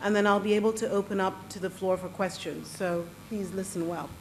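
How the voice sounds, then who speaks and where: Audible room echo surrounds this woman's speech at a moderate pace. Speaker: panel moderator. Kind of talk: moderating a panel at a forum. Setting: stage with audience.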